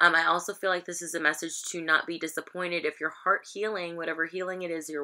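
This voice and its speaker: The background stays quiet. Her tone, a woman's, is bright and sharp. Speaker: tarot reader. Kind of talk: casual reading commentary. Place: home room. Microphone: webcam.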